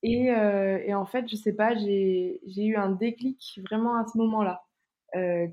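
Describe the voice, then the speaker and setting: A woman with a medium-pitched voice speaks in an ordinary speaking voice, her intonation fairly even and her loudness very even throughout. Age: 20s. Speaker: plant-based nutrition content creator. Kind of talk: casual interview chat.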